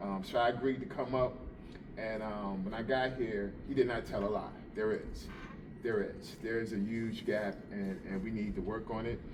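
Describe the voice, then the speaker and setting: With a New Jersey accent, a man speaks at a moderate pace and a medium pitch. His intonation is monotone and flat, and there is audible room echo. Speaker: police officer. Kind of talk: informal talk to a group. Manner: hesitant, many fillers.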